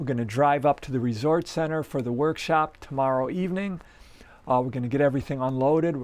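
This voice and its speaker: Against a quiet background, a man with a fairly high voice talks at a fairly quick pace with ordinary pitch variation. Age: 60s. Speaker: ambient musician. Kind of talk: casual chat. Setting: home practice space. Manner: halting, many fillers.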